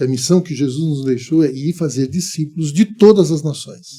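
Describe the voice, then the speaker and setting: Here a man speaks at a fairly high pitch with a dark, mellow tone. His pace is moderate and his pitch variation ordinary. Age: 70s. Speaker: pastor and missionary. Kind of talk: podcast interview.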